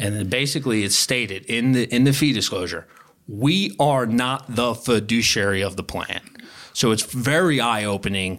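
Speaking at a moderate pace in a Philadelphia accent, a man comes through on a very clean recording with a silent background. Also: medium pitch for a man, ordinary pitch variation. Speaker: wealth advisor. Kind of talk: interview about retirement planning.

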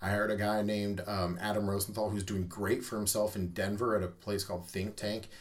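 A man with a Midwestern American accent, fairly low-pitched and monotone, flat in intonation, at a fairly quick pace with hardly any pauses. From US Midwest, Omaha, Nebraska. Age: middle-aged. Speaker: tattoo artist and shop owner. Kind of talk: casual interview. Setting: small studio.

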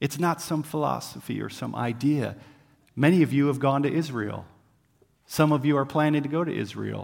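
A man with a plain, everyday voice speaks at a fairly high pitch with fairly even intonation. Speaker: missionary preacher. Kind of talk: sermon. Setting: church. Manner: casual, conversational.

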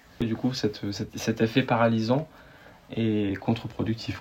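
A somewhat breathy male voice with fairly even intonation. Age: 20s. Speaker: guest sharing personal story. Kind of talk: interview, personal testimony. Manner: hesitant, many fillers and repetitions.

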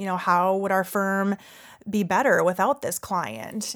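With an ordinary speaking voice, a woman speaks at a fairly slow pace and medium pitch on a very clean recording with a silent background. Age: 30s. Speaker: financial advisor. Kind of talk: interview.

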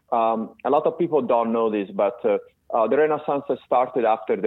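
A man speaks with an Italian accent. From Italy (Florence). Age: 50s. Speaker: tech company CEO. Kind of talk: interview. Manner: halting, many fillers.

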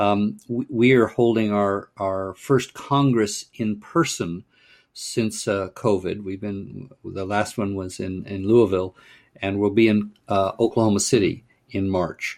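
Speaking with a Californian accent, a man uses a fairly low pitch and fairly even intonation at a fairly slow pace. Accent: General American (Californian). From US West Coast, Pasadena, California. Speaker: urban planning nonprofit director, former mayor. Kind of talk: podcast interview.

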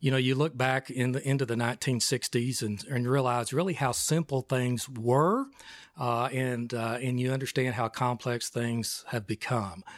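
Here a man talks with a West Texas accent. His pitch is medium and his intonation fairly even. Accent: West Texas drawl. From West Texas (Snyder, Amarillo). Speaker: retired regional planning executive. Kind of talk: interview.

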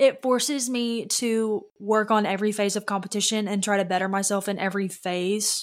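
With a Southern US accent, a woman talks at a medium pitch, her intonation fairly even and hardly any pauses between her words. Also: moderate pace. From Louisiana. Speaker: pageant competitor. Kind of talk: casual interview chat.

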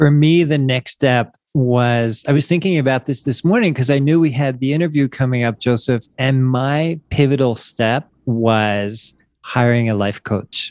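With an American accent and medium pitch, a man talks at a fairly slow pace with hardly any pauses in a plain, everyday voice. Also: ordinary pitch variation. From Wilmington, Delaware, US. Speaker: life coach. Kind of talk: casual interview. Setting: video call.

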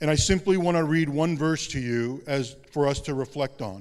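The delivery has a moderate pace and ordinary pitch variation, in an ordinary speaking voice. Behind it is a silent background on a very clean recording. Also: man. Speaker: pastor. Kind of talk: sermon. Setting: church.

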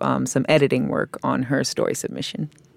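Recorded very cleanly against a silent background, with a dry, close sound and no echo, a woman speaks at a moderate pace in a very deep, low voice with vocal fry. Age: 30s. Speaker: editor and interviewer. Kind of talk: interview.

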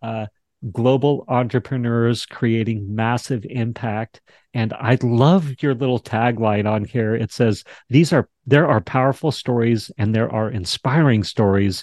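A man's unremarkable speaking voice at medium pitch with ordinary pitch variation, at a fairly slow pace, dry and close with no echo. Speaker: talk show host. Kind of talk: interview.

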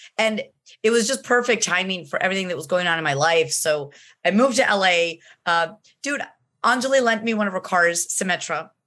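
Against a quiet background, a woman speaks at a fairly quick pace and medium pitch. Her tone is bright and sharp, and her intonation is lively. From Colombia. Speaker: voice actress. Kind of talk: interview.

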